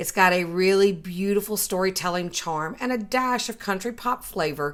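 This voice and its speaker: Speaking with a Southern US accent, a woman uses a medium pitch and an animated tone. Her pace is moderate and her pitch variation ordinary. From US South. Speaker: vocal coach. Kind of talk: online tutorial.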